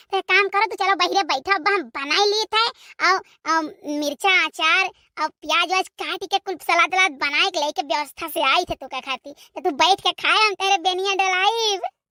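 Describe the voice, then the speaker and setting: A woman's squeaky, cartoonish character voice at an extremely high pitch, with ordinary pitch variation. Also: dry, close sound with no echo. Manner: wheedling, scheming.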